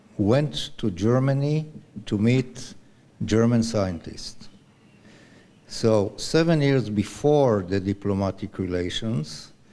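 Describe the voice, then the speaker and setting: With an Israeli accent, a man speaks at a medium pitch in a dark, mellow tone with lively intonation, at a very slow pace with long, frequent pauses. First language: Hebrew. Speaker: retired army officer and scientist. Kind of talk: conference talk. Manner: halting.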